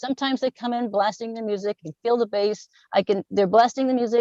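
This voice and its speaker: In a dry, close sound with no echo, a woman talks very fast at a fairly high pitch. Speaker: resident speaking at public comment. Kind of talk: public comment at council meeting. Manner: halting.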